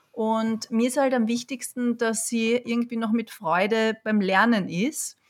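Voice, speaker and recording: Using an ordinary speaking voice, a woman talks fairly slowly at a fairly high pitch, with very even loudness and hardly any pauses. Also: fairly even intonation. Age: 40s. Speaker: yoga teacher, parent. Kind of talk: casual chat. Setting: online call from home.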